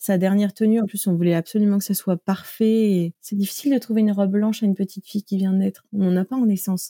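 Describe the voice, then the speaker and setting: A woman of medium pitch speaks at a very fast pace with hardly any pauses, her tone dark and mellow. Her loudness stays very even, her intonation fairly even, and the sound is dry and close with no echo. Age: 20s. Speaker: content creator, mother sharing perinatal loss. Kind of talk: personal testimony interview. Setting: podcast interview. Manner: hesitant, with fillers.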